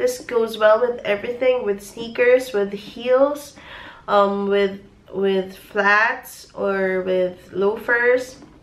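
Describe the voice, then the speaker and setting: Against noticeable background noise, a woman with a fairly high pitch speaks at a very slow pace with fairly even intonation. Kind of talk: casual product review to camera.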